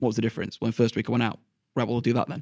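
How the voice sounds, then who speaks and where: A man with a Yorkshire accent speaks at a medium pitch, the sound dry and close with no echo. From Sheffield, England. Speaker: teacher. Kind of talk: interview.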